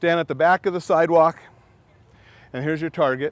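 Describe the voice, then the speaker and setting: This is a man with a high-pitched voice. The sound is dry, with no echo. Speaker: safety trainer. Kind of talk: hands-on training session. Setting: outdoors. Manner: loud; animated.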